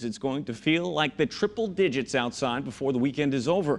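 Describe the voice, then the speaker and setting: With an unremarkable speaking voice, a man talks at a fairly quick pace and fairly high pitch, his intonation lively. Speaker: television news anchor and reporter. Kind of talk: studio news anchor intro.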